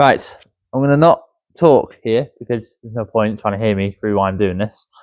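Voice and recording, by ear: At a moderate pace, a man talks in a fairly low voice with a slightly mellow tone and ordinary pitch variation, the sound dry and close with no echo.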